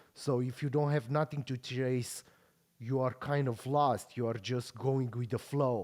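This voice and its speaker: A man with a Romanian accent speaks at medium pitch and a fairly slow pace, his intonation monotone and flat. The recording is very clean, with a silent background. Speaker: podcast host and pro bodybuilder. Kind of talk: casual interview chat.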